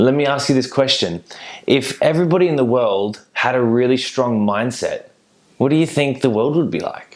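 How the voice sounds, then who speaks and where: In an Australian accent, a man speaks at a moderate pace with an animated tone. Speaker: mindset coach. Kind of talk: motivational talk. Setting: virtual summit.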